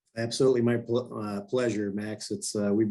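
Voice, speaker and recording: A man with a Michigan accent at medium pitch, very fast in pace and monotone, flat in intonation. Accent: sounds like a Michigan native. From grew up abroad (Italy, Brazil, Argentina), then Michigan. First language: not English; English is third language. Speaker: glass company executive. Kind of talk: casual interview.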